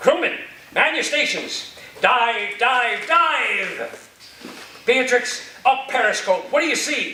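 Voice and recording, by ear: A man's put-on character voice, extremely high-pitched, bright and sharp in tone, slow-paced with lively intonation, amid audible room echo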